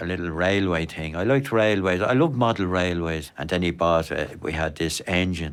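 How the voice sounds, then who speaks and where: Someone with an Irish accent talks at a moderate pace, with ordinary pitch variation and hardly any pauses. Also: man, very deep, low pitch for a man. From Ireland, County Wicklow. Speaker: elderly interviewee. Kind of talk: personal testimony. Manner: halting.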